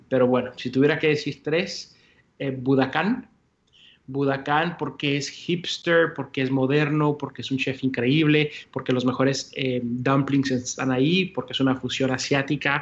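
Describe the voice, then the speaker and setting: Speaking at a fairly slow pace, a man with a Mexican accent keeps his intonation flat and monotone. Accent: Mexican-sounding Spanish. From US-Mexico border, El Paso, Texas. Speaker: entrepreneur, coffee company founder. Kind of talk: interview.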